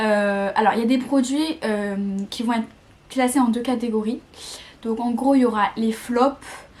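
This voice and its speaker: A woman at a fairly high pitch, speaking at a very slow pace. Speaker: beauty vlogger. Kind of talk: casual product review. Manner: hesitant, many fillers and repetitions.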